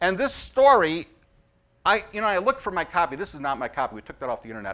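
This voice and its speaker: The man's pitch swings very widely while he talks at a fairly brisk clip. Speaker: conference speaker. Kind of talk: presentation with slides. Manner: fast.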